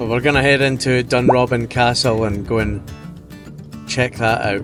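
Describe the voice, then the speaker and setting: Over music in the background, a man talks at a moderate pace in a Scottish accent. His pitch is medium and his intonation fairly even. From Scotland. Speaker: vanlife travel vlogger. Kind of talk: casual talk to camera.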